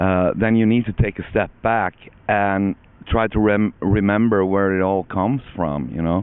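In an ordinary speaking voice, a man with a fairly low pitch talks at a moderate pace with fairly even intonation, the sound dry with no echo. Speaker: interviewee. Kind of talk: interview answer. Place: open country. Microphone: handheld.

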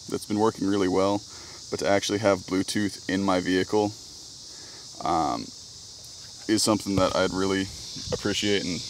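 Noticeable background noise sits behind a man with a fairly low pitch, in a dry sound with no echo. He keeps a moderate pace and fairly even intonation. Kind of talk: casual vlog chat. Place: car. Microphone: phone near.

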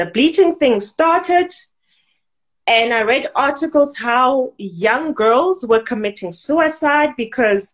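A woman's high voice with very wide pitch swings, at a very slow pace, over a quiet background. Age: adult. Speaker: businesswoman and modeling academy owner. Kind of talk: interview. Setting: video call.

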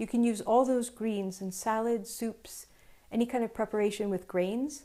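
A woman talks at a moderate pace against a quiet background. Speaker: cooking show host. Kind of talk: tutorial. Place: kitchen. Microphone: lapel.

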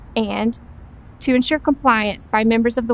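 At a moderate pace, a woman speaks with monotone, flat intonation in a dry sound with no echo and light background noise. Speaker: presenter. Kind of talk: scripted training presentation. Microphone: lapel.

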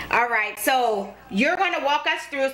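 A woman talks at a moderate pace in a raised, projected voice with ordinary pitch variation. Light background noise sits behind her. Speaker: cooking show host. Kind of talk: casual cooking tutorial chat. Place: kitchen.

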